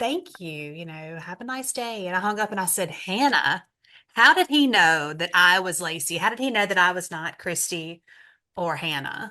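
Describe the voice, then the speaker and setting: With a Southern US accent, a woman speaks at a moderate pace in a medium pitch, her tone bright and sharp, her intonation lively and her loudness swinging widely against a quiet background. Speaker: travel advisor. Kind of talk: casual chat. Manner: animated.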